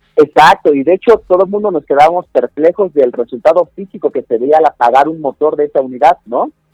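A man with a plain, everyday voice and a fairly high pitch speaks at a fairly quick pace with hardly any pauses. His intonation is lively, and the sound is dry and close with no echo. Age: 20s. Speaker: security tech company director. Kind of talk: interview. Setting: phone call.

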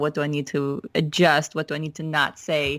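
Using a normal speaking voice, a woman talks at a fairly low pitch and a moderate pace. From Minnesota, US Midwest. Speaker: author and church staff member. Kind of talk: casual interview conversation.

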